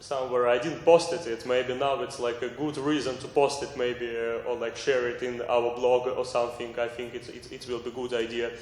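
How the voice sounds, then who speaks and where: Amid noticeable background noise and audible room echo, a man with a non-native accent speaks at a medium pitch and moderate pace, with fairly even intonation and hardly any pauses. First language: not English. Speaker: artist. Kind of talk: group discussion presentation. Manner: halting.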